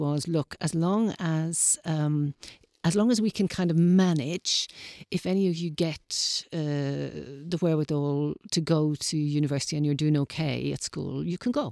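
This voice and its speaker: In a Dublin accent, a woman speaks at a fairly slow pace with a fairly low pitch and a dark, mellow tone. The sound is dry and close with no echo, and the background is silent in a very clean recording. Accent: Dublin Irish. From Ireland, Dublin. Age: 60s. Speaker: interviewee, community radio volunteer. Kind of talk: interview. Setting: studio.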